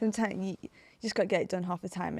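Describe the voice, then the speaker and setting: At medium pitch, a woman speaks with vocal fry and monotone, flat intonation, in a dry, close sound with no echo. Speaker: Olympic 800m runner. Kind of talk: casual podcast conversation.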